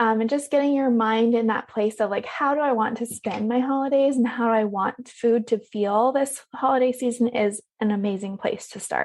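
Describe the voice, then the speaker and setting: With a breathy voice, a woman speaks in fairly even intonation. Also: fairly high pitch for a woman, moderate pace. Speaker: health coach. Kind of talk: podcast interview. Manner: breathy pauses.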